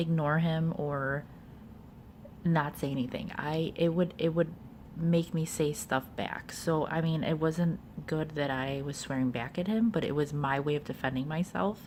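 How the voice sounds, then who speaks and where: Very deep and low in pitch, a woman talks at a fairly slow pace with ordinary pitch variation. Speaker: video blogger giving relationship advice. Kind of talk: casual talk to camera. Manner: halting, many fillers.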